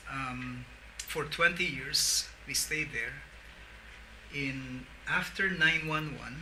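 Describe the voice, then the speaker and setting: Amid audible room echo and noticeable background noise, a man speaks very slowly with long, frequent pauses. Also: big swings in loudness. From Philippines, Tagalog region. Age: 60s. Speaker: pastor and social entrepreneur. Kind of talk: interview.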